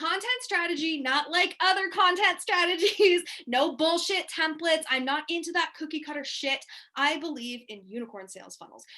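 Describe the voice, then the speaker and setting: Raised and projected, a woman's extremely high, bright, sharp voice rings out in an animated tone. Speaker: business coach. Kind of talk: webinar presentation. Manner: fast.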